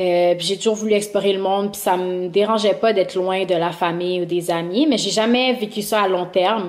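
A woman's normal speaking voice at a medium pitch, with fairly even intonation and a moderate pace. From Montreal. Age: 30s. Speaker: YouTuber. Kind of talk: casual chat. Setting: remote recording.

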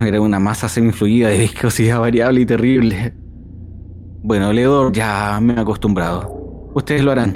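Moderate pace, very even loudness and fairly even intonation over noticeable background noise. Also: man, medium pitch for a man. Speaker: player voicing a ship doctor character. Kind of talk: role-playing in character, descriptive narration. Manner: formal, wordy, theatrical, with hesitations.

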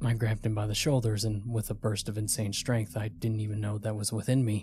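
The speaker uses a natural reading voice.

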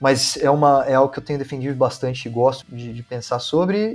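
This man's voice is somewhat breathy. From Brazil, Campinas (São Paulo state). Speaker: scientist, researcher and science communicator. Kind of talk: casual interview.

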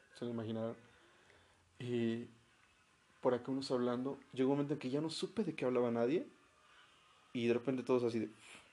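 This man talks at a very fast pace but leaves long, frequent pauses. His dark, mellow tone sits at a medium pitch with fairly even intonation. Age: 30s. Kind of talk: casual chat.

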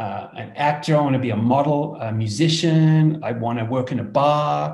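A man with an Australian accent, medium pitch, ordinary pitch variation, a dark, mellow tone and a somewhat breathy sound. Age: 60s. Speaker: entrepreneur. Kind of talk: casual interview.

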